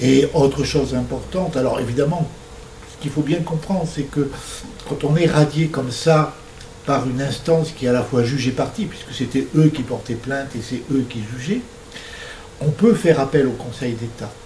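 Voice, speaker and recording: Speaking at a moderate pace, a man uses a fairly high pitch with ordinary pitch variation and long, frequent pauses. Noticeable background noise and audible room echo are present. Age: 60s. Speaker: struck-off doctor giving a talk. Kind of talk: lecture. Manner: hesitant, frequent filler sounds.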